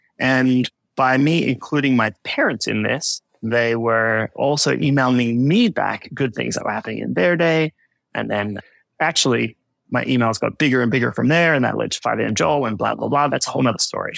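On a very clean recording with a silent background, a man with an Australian accent speaks at a fairly quick pace. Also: dry, close sound with no echo. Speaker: personal finance podcaster. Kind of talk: casual chat.

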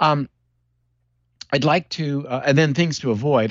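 A man with an ordinary speaking voice, at a moderate pace, with ordinary pitch variation. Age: 60s. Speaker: neurologist. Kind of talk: interview.

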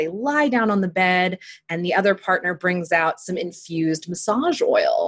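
A woman uses an ordinary speaking voice at a medium pitch and a fairly slow pace. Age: 30s. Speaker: relationship and sex coach. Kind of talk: interview conversation.

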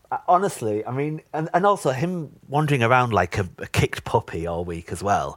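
A man with a North East England accent, fairly high in pitch, at a fairly quick pace with hardly any pauses and very wide pitch swings. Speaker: podcast guest, fan of the show. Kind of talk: casual chat. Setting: video call, remote recording.

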